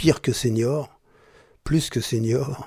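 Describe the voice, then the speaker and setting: A man speaks in a dark, mellow, somewhat breathy voice. The recording is very clean, with a silent background. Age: 70s. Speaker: journalist and broadcaster. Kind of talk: testimony. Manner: halting.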